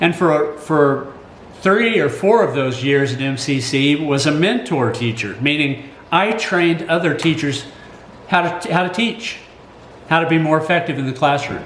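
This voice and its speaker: With an American accent and lively intonation, a man speaks amid noticeable background noise and audible room echo. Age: 60s. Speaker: college teacher and commentator. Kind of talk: personal commentary. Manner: halting.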